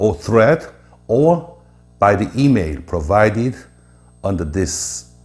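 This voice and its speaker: With a Korean accent and vocal fry, a man speaks in a fairly low pitch at a very slow pace, his pitch swinging very widely. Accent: Korean accent, non-native English. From South Korea. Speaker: presenter explaining Korea. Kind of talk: informal lecture. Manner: halting with many filler uhs.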